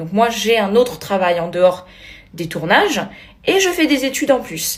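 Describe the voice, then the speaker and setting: Animated in tone, a woman with a Corsican accent talks at a moderate pace and medium pitch. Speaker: reality TV contestant. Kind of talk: video blog rant.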